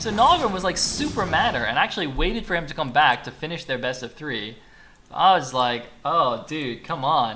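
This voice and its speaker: In an animated tone with a slight American accent, the speaker talks over noticeable background noise. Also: moderate pace. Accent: slightly American. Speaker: esports caster. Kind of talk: live commentary. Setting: live stream.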